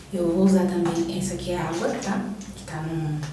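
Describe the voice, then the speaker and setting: Fairly low in pitch, a woman talks at a moderate pace amid noticeable background noise and audible room echo. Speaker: beauty vlogger. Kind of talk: casual chat.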